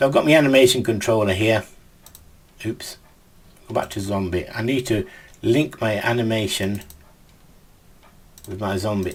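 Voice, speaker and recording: Somewhat breathy, the voice moves at a moderate pace with ordinary pitch variation and long, frequent pauses. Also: man, fairly low pitch for a man. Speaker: game development tutor. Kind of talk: tutorial.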